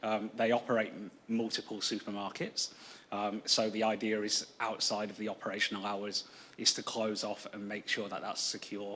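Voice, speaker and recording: With a British accent, a man speaks at a fairly low pitch and a moderate pace in a monotone, flat intonation. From UK. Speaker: planning applicant representative. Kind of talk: council meeting Q&A. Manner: hesitant, many fillers.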